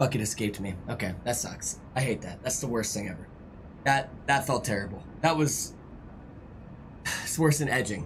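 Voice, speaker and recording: A somewhat breathy man speaks at a moderate pace and medium pitch, with ordinary pitch variation and long, frequent pauses. Audible room echo surrounds his voice. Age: 30s. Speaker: gaming streamer. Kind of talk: live stream chat and gameplay; tutorial. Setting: live stream with on-screen chat. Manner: animated.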